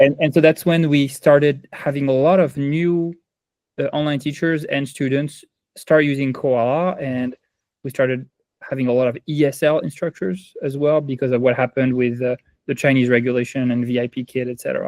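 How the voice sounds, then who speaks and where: A man talks with a strong French accent. He speaks fairly quickly at a fairly high pitch. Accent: heavy French. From France. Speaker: ed-tech company founder. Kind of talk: interview.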